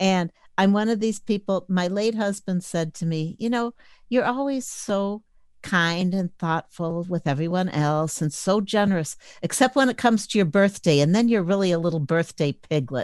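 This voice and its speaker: A woman speaks at a moderate pace in an ordinary speaking voice. Her medium pitch varies in an ordinary way over a quiet background. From Chicago suburbs, US Midwest. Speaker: blind advocacy volunteer, convention coordinator. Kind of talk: interview.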